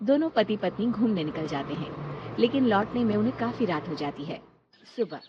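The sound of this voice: A woman's voice with a husky, rough edge and lively intonation, in a dry, close sound with no echo. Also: medium pitch for a woman, fairly quick pace.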